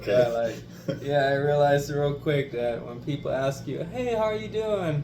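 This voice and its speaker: Through noticeable background noise and audible room echo, a man talks at a fairly high pitch with lively intonation. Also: moderate pace. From Germany. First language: German. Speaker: interviewee. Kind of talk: casual interview.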